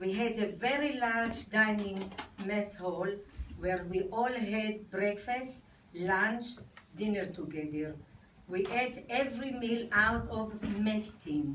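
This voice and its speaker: Spoken at a very slow pace with an Israeli accent, the voice shows ordinary pitch variation against audible room echo. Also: woman, medium pitch for a woman. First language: Hebrew. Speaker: army veteran. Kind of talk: reading aloud. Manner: halting.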